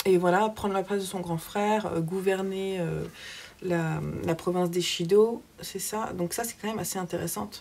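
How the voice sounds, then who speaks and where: With a southern French accent, a woman speaks at a medium pitch and a moderate pace, her intonation fairly even. Background noise is noticeable. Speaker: book vlogger. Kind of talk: casual vlog book review. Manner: hesitant, many fillers.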